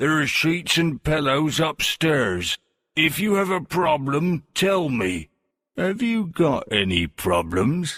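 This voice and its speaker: A man uses a put-on character voice at a fairly high pitch. He speaks at a fairly slow pace. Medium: read story. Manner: angry, curt.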